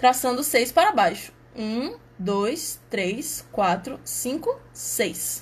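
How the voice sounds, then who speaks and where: A woman speaks at a very slow pace with lively intonation. Her fairly high voice carries vocal fry. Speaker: math outreach presenter. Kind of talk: tutorial.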